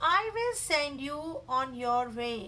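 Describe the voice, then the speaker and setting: A woman puts on a high-pitched character voice over clear background noise. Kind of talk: children's storytelling. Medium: read story. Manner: curt, disapproving.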